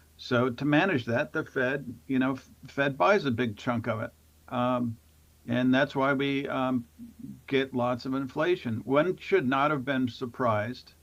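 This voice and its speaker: With an American accent and a medium pitch, a man talks at a fairly slow pace, his pitch varying in an ordinary way. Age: 60s. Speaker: finance professor. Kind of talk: casual chat. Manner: halting, many fillers.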